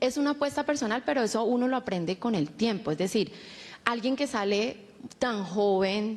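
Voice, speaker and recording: A woman with a Cali accent, fairly high in pitch, with ordinary pitch variation. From Colombia, Cali. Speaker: communicator. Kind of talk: panel discussion.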